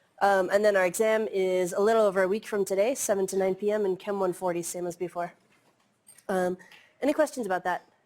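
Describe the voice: With a slightly mellow tone, a woman at medium pitch talks at a fairly quick pace.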